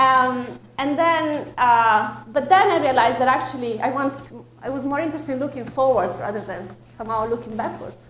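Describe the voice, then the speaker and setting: Over noticeable background noise, a woman with an Italian accent talks at a moderate pace with hardly any pauses, using a high pitch, ordinary pitch variation and big swings in loudness. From Italy. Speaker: astrophysics researcher. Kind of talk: public lecture. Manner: hesitant, with fillers.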